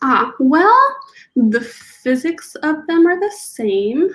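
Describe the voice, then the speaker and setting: A soft-spoken woman at a very slow pace, with lively intonation. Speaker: aerospace engineer. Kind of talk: interview.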